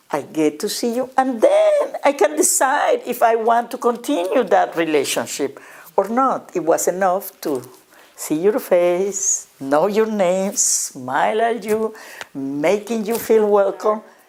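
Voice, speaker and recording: In a Spanish accent, a woman with a fairly high pitch speaks with very wide pitch swings. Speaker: educator and nonprofit director. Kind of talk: interview monologue.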